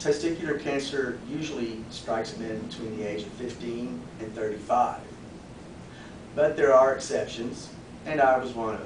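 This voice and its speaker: A man speaks at a moderate pace with a medium pitch and ordinary pitch variation, his loudness swinging widely amid noticeable background noise and audible room echo. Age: 40s. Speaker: public speaking club member. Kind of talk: prepared speech.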